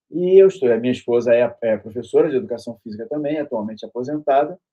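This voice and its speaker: Lively intonation marks this man's delivery. He talks at a very fast pace. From Brazil, Rio de Janeiro. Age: 60s. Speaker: university professor and author. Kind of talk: interview self-introduction. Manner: halting, with fillers and repetitions.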